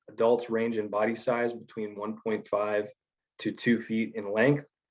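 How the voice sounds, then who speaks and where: A man of medium pitch talks at a moderate pace in a normal speaking voice. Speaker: environmental scientist. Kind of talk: conference presentation. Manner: casual, many filler words.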